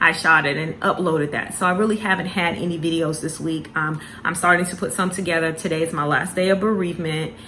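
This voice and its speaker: A woman talks at a very fast pace with hardly any pauses, her pitch fairly low and her intonation fairly even. Audible room echo and noticeable background noise are present. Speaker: planner vlogger. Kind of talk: candid personal vlog. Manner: halting, many fillers and repeats.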